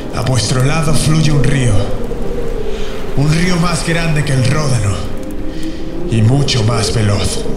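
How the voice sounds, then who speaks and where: Over loud background noise, a man with a Castilian accent speaks at a very slow pace with long, frequent pauses. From Spain. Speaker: voice actor. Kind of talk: epic dubbing demo, battle speech. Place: booth.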